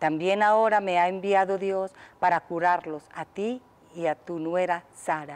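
The voice has a clear, smooth tone and moves at a moderate pace. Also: woman, fairly low pitch for a woman, fairly even intonation.

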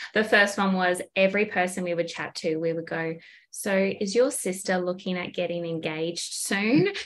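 Speaking in an Australian accent at a moderate pace, a woman keeps a medium pitch and fairly even intonation. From far north Queensland, Australia. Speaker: small business owner. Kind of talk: casual interview chat.

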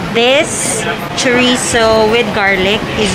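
The speaker's voice has ordinary pitch variation, set against loud background noise. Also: woman. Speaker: food vlogger. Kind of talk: casual vlog chat. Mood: mildly disappointed. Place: cafe. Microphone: phone near.

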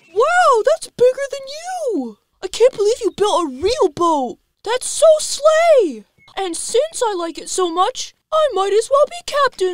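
An extremely high-pitched, put-on character voice at a fairly slow pace. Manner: excited, cheeky, loud.

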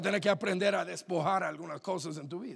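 The background is quiet as a man speaks. His tone is animated, with ordinary pitch variation. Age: 30s. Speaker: pastor. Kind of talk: sermon. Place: church. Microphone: handheld.

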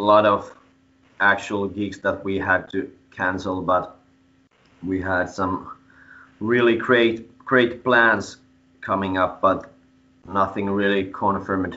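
A man with a Finnish accent talks at a very slow pace, leaving long, frequent pauses. His intonation stays monotone and flat. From Finland. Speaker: metal band frontman; interviewee. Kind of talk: interview. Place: home room. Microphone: video call.

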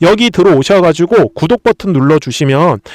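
The sound is dry and close with no echo as a man talks at a fairly quick pace with lively intonation. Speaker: stock market YouTuber. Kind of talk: stock analysis monologue. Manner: animated, talks directly to viewers.

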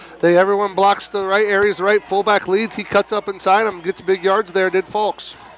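A high-pitched man speaking at a fairly quick pace, monotone and flat, hardly any pauses, dry and close with no echo, noticeable background noise. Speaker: color analyst. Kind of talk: live commentary.

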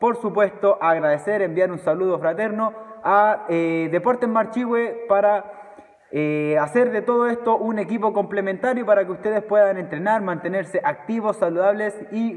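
This man has a high-pitched voice with ordinary pitch variation. He talks at a moderate pace. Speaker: fitness trainer. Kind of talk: casual announcement to viewers. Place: gym. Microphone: phone near.

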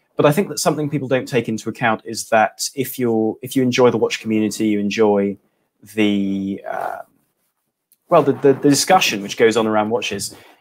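A man with an English accent at a medium pitch, with ordinary pitch variation and a fairly quick pace. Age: 20s. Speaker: watch blogger and YouTuber; watch blogger, YouTuber. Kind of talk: casual livestream chat. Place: home room.

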